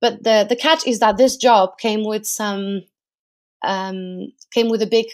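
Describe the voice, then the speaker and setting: With a Portuguese accent, this speaker keeps a fairly even intonation at a moderate pace over a very clean recording and a silent background. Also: woman. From Portugal. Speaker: research analyst. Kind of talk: interview.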